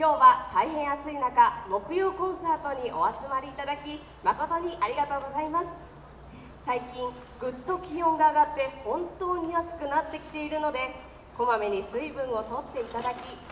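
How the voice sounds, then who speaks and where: A woman's high, bright and sharp voice moves at a moderate pace with big swings in loudness, over light background noise and audible room echo. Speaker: concert emcee. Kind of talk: formal event announcement. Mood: polite and cheerful. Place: street.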